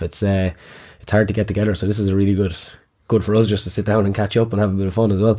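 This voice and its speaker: A man with a Kilkenny accent, fairly low pitch and a dark, mellow tone, at a very fast pace, on a very clean recording with a silent background. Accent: Irish (Kilkenny), noticeable. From Kilkenny, Ireland. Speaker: gym owner and podcast host. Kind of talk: casual chat, podcast intro. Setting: studio. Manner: animated, joking.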